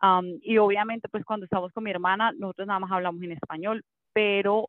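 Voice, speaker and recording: A woman uses an ordinary speaking voice at a medium pitch and a moderate pace, with ordinary pitch variation. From Colombia. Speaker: mommy blogger and former TV presenter. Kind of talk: casual interview chat.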